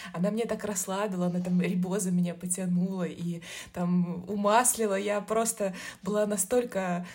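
A woman talks at a moderate pace in a medium pitch with monotone, flat intonation. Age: 30s. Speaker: marketer, new mother. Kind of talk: casual chat.

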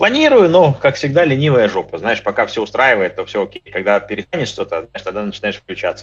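This man talks at a very fast pace with hardly any pauses. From Crimea. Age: 40s. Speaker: fitness trainer and blogger. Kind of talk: casual chat.

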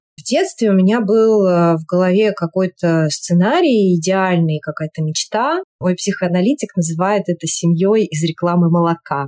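A woman's dark, mellow voice at medium pitch, with ordinary pitch variation, a moderate pace, and a dry, close sound with no echo. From Russia, Saint Petersburg. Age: 30s. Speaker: entrepreneur and marketer. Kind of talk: casual chat.

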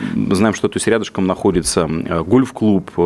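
A man with lively intonation, over noticeable background noise. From Russia, Yaroslavl region. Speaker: business development director. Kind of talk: radio interview.

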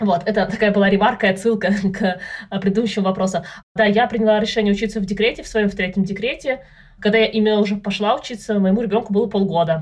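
Speaking at a very fast pace, a woman talks in a somewhat breathy voice with fairly even intonation. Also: medium pitch for a woman. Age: 30s. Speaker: data analyst, mother of three. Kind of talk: casual chat.

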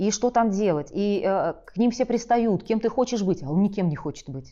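A woman speaks at a fairly quick pace with lively intonation. Her medium-pitched voice has a dark, mellow tone. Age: 40s. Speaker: career counselor and psychologist. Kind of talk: monologue to camera.

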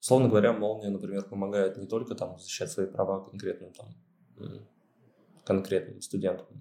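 A man with a dark, mellow tone, ordinary pitch variation, big swings in loudness and long, frequent pauses. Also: fairly low pitch for a man, moderate pace. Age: 20s. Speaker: student media editor-in-chief. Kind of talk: interview. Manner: halting, many fillers.

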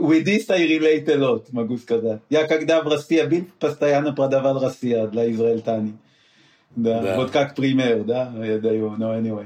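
In a non-native accent, a man speaks at a medium pitch and a moderate pace with ordinary pitch variation. His tone is dark and mellow. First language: not Russian (speaking Russian). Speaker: former CEO, business mentor. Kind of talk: interview. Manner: halting.

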